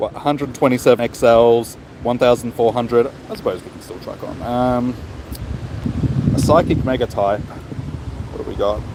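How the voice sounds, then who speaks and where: Against noticeable background noise, a man with an Australian accent and a medium pitch talks with ordinary pitch variation and big swings in loudness. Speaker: gaming streamer. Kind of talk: live stream chat. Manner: fast; casual.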